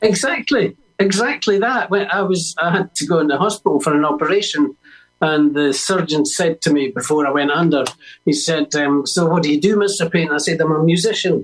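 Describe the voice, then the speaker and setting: A man's high voice in a Scottish accent, at a fairly quick pace and very even loudness, with music in the background. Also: ordinary pitch variation. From Scotland, Edinburgh. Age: 70s. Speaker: musician and author. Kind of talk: interview. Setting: radio broadcast.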